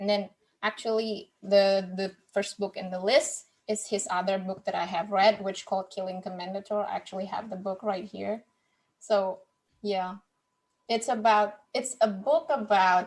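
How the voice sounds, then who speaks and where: Speaking with a non-native accent, a woman keeps a medium pitch, fairly even intonation and a moderate pace. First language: not English. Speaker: podcast host, guest on book podcast. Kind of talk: casual chat. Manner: halting, with many repeated words.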